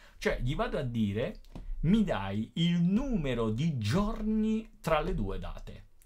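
In a room with audible echo, a man talks very slowly at a high pitch, his pitch swinging very widely. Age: 50s. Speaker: teacher. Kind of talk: tutorial. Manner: casual.

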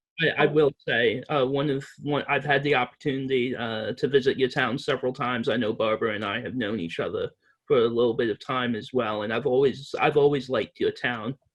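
Here a man speaks with a slight English accent. His intonation is fairly even. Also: medium pitch for a man. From Reading, England. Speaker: advocate presenting a resolution to town officials. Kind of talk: presentation at town meeting. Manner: halting, many fillers.

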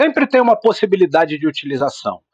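A man speaks with lively, bouncing intonation. The sound is dry and close, with no echo. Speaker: biology professor. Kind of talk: interview conversation.

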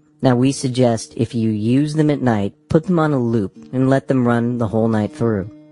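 Medium-pitched talk from a man with hardly any pauses and ordinary pitch variation, music in the background and a dry, close sound with no echo. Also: moderate pace. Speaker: hypnosis guide. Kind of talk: hypnosis guided meditation, audiobook narration. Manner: instructional, calm.

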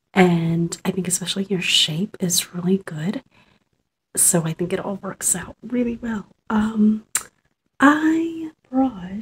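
A soft-spoken woman's somewhat breathy, gentle voice with lively intonation and light background noise. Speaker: ASMR creator. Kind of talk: ASMR role-play makeup application, soft-spoken. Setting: studio, close-mic ASMR. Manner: soft-spoken, gentle, relaxing. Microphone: phone near.

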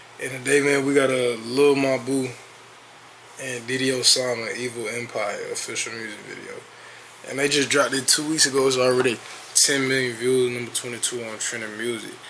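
Against light background noise, a man speaks at a moderate pace with monotone, flat intonation. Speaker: reaction streamer. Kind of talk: casual vlog chat.

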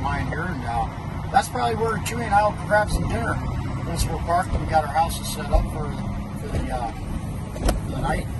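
Loud background noise runs beneath this man's speech. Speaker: racing fan vlogger. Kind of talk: casual vlog chat. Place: car. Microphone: phone near.

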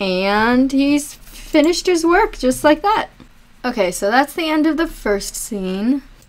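Noticeable background noise sits behind a woman talking at a fairly slow pace. Her high voice is animated, with very wide pitch swings. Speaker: anime review YouTuber. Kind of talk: reaction video commentary. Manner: chatty, rambling.

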